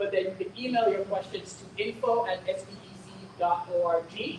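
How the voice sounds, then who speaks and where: There is noticeable background noise. A woman talks over it at a moderate pace. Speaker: school district administrator. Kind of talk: community information meeting. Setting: in-person meeting, also streamed online.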